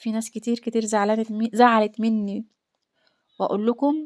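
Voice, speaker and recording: The voice carries an Egyptian accent, with a dry, close sound and no echo. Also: woman. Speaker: homemaker vlogger. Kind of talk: casual vlog chat.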